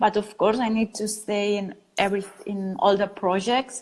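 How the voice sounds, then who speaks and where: A woman's voice with a Catalan accent. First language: Spanish or Catalan. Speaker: design studio founder. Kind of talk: interview. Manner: halting.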